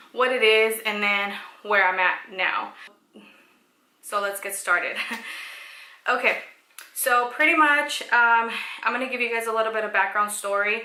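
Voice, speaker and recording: The pace is moderate. Room echo is audible. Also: woman, fairly high pitch for a woman, ordinary pitch variation. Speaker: vlogger sharing pregnancy story. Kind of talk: personal testimony vlog. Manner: hesitant, many fillers.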